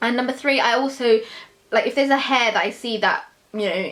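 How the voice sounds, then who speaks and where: A woman talks at a fairly quick pace with fairly even intonation. There is noticeable background noise behind her. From London, England. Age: 20s. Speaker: beauty YouTuber. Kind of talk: Q&A vlog. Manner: casual, hesitant with fillers.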